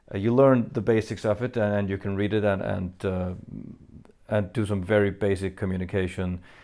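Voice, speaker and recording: A man's fairly low, dark, mellow voice, fairly quick, with fairly even intonation, in a very clean recording with a silent background. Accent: Faroese. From Faroe Islands. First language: Faroese. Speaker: metal band frontman answering fan questions. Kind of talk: Q&A video monologue. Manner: hesitant, many fillers.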